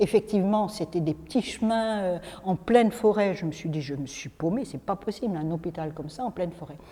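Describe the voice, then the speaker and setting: Somewhat breathy and dark, mellow in tone, the voice moves at a fairly quick pace with lively intonation and big swings in loudness. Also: woman, medium pitch for a woman. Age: 60s. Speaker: spiritual speaker, former psychiatric nurse. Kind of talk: talk to a group, personal story. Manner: hesitant, many fillers.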